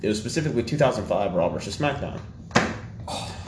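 Lively intonation carries the speech at a very fast pace. Noticeable background noise is present. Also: man. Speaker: podcast host. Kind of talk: casual banter podcast chat. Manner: joking, sarcastic.

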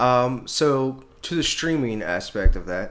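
A man's plain, everyday voice at a medium pitch, with lively intonation. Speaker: podcast host. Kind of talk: casual podcast chat. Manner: casual, filler-heavy.

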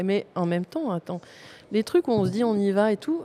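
A woman talks at a fairly quick pace and a medium pitch. Hers is an ordinary speaking voice. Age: 50s. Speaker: artist photographer. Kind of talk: interview. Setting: recording at a museum.

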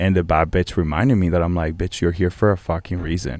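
A man with a very deep, low voice. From Venezuela, Caracas. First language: Spanish. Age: 20s. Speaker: podcast guest. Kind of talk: casual chat. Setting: studio. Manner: animated.

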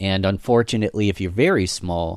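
Captured in a very clean recording against a silent background, a man's very deep, low voice proceeds at a moderate pace. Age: 30s. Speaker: podcast host and marketer. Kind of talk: casual chat.

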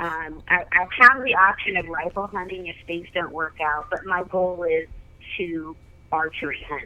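At a fairly slow pace, a woman speaks in an unremarkable speaking voice, fairly low-pitched, with fairly even intonation. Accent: American. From Oregon. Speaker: professional hunter and outdoor show host. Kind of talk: casual interview.

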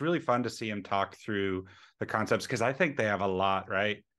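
A man's normal speaking voice at a fairly quick pace, with ordinary pitch variation. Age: 30s. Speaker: software developer. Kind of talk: casual chat. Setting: video call.

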